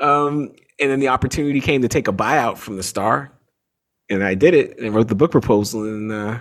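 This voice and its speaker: A plain, everyday voice from a man at medium pitch, fairly quick, with ordinary pitch variation, on a very clean recording with a silent background. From Canada, Toronto. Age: 40s. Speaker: author and sports journalist. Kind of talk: interview.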